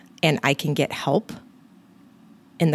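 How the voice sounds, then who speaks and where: A woman at a very deep, low pitch with vocal fry, a moderate pace and a dry, close sound with no echo. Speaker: nurse anesthetist and weight loss coach podcast host. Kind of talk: solo motivational podcast talk. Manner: casual, animated.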